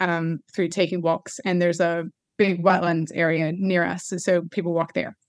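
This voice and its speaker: With an American accent, a woman speaks at a moderate pace in a fairly low voice. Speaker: church planter and pastor.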